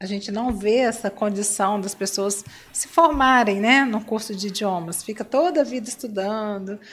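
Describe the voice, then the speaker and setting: Her voice somewhat breathy and fairly high, a woman talks at a fairly slow pace with ordinary pitch variation. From Espírito Santo, Brazil (Cachoeiro de Itapemirim). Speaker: business coach and entrepreneur. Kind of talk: interview. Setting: live stream.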